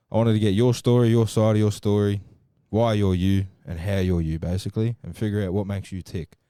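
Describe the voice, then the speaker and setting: With an Australian accent, a man speaks at a fairly quick pace in a fairly low pitch, his tone dark and mellow, his pitch varying in an ordinary way, on a very clean recording with a silent background. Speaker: podcast host. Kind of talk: casual interview chat.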